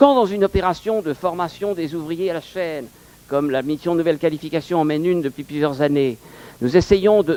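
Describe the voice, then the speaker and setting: A man speaks with a dark, mellow tone. His pitch is high, and it rises and falls by an ordinary amount. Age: 70s. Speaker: adult training program leader. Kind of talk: conference talk. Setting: conference with audience.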